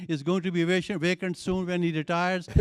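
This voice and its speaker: A man's voice, high in pitch. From Alabama. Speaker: audience member. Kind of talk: audience comment. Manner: halting.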